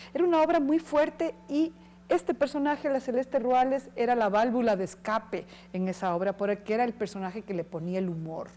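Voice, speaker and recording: A woman's fairly high voice at a fairly quick pace, with very wide pitch swings. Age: 60s. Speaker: actress and cultural manager. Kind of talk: interview. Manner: hesitant, many fillers.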